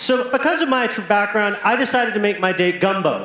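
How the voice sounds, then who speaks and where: A man with a high pitch and ordinary pitch variation at a moderate pace, with noticeable background noise and audible room echo. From US South, Alabama Gulf Coast. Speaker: stand-up comedian. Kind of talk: stand-up. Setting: stage with audience.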